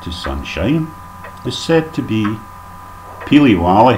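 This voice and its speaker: Over light background noise, a man in a Scottish accent swings his pitch very widely. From Scotland. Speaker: dialect teacher. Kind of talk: comedic language lesson narration. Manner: mock-formal, tongue-in-cheek. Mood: dry humorous. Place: home room. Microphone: webcam.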